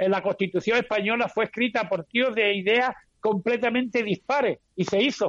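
A man's high-pitched voice at a moderate pace, with fairly even intonation, dry, close sound with no echo, and a quiet background. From Andalusia, Huelva. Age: 70s. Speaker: flamenco singer and sports coach. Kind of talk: interview.

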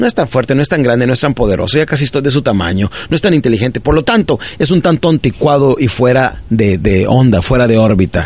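The man talks at a very fast pace in an animated tone. His intonation is lively and his loudness very even. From northern Mexico (Ciudad Juárez, Chihuahua). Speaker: motivational speaker. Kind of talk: motivational talk.

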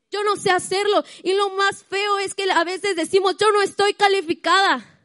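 A woman speaks at an extremely high pitch and a very slow pace, in a dry, close sound with no echo. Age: 20s. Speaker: church speaker at women's meeting. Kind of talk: sermon.

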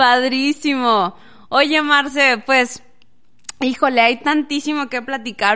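Her tone is bright and sharp, in a high pitch. The woman speaks at a fairly slow pace over a quiet background. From Las Nieves, Durango, Mexico. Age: 30s. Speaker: podcast host. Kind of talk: interview. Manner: animated.

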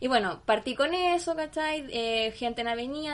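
At a moderate pace, a woman talks in an ordinary speaking voice with ordinary pitch variation. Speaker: podcast co-host and school teacher. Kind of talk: casual chat.

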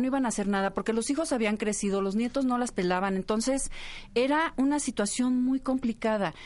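Speaking at a fairly quick pace, a woman has an unremarkable speaking voice, fairly high in pitch with ordinary pitch variation. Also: quiet background. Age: 40s. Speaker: communicator and writer. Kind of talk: casual chat.

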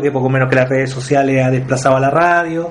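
A man rattles along at a very fast pace over noticeable background noise. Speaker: focus group moderator. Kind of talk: group discussion moderation. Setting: in-person group meeting room.

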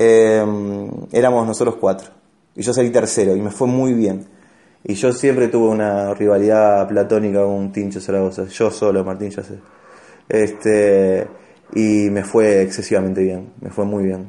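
A man's dark, mellow voice with an Argentine accent, monotone and flat in intonation, at a fairly slow pace. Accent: Rioplatense Argentine Spanish. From Argentina, Rosario. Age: 30s. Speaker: stand-up comedian. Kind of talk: casual chat.

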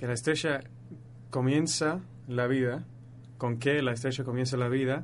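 A man with an English accent speaks at a medium pitch in a flat monotone. His pace is fairly slow, broken by long, frequent pauses. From northern England, Leeds. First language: English (speaking Spanish). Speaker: astrophysics student. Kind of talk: radio interview, explaining astronomy. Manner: halting, searching for words.

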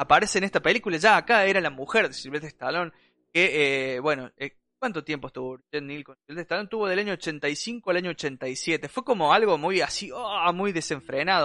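A man's high-pitched voice in a bright, sharp tone, fairly quick with lively intonation, dry and close with no echo. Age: 30s. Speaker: podcast host. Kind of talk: casual chat.

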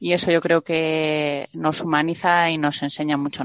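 A woman's very deep, low-pitched voice with monotone, flat intonation, a dry, close sound with no echo and a quiet background. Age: 40s. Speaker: venture capital investor. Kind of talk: interview.

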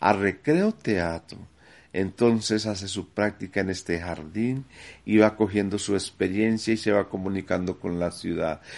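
A man's plain, everyday voice, fairly low in pitch, at a fairly slow pace with fairly even intonation against a quiet background. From Medellín, Colombia. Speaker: community theatre founder. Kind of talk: testimony.

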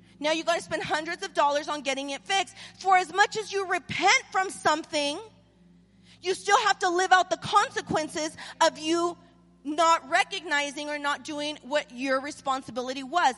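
Projecting a raised voice, a woman with an extremely high pitch and an American accent sounds animated, with a bright, sharp tone. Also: ordinary pitch variation, moderate pace. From Southern California, US. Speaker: pastor. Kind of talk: live church sermon with call-and-response to the congregation. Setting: church stage with live audience, also streamed. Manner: conversational, repeating 'right?' and restarting words; animated, exhorting, rising and pressing for amens.

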